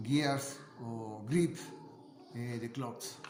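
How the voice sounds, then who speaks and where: A man with a non-native accent speaks at a very slow pace with ordinary pitch variation. Audible echo fills the room. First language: Spanish. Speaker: amateur science video maker. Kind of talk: casual explanatory monologue. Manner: halting, many fillers and repetitions.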